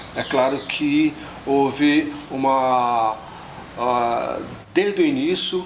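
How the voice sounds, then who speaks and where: Against noticeable background noise, a man speaks at a very slow pace with long, frequent pauses and ordinary pitch variation. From northeast Brazil coast (Rio Grande do Norte/Paraíba). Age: 70s. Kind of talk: documentary interview testimony. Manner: halting, many filler pauses.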